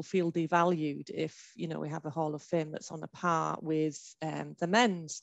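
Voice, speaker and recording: Against a quiet background, a woman with a Hull accent speaks at a moderate pace, using a fairly low pitch and fairly even intonation. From northern England, Hull. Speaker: heritage consultant in women's sport. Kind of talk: panel discussion. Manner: hesitant, many fillers.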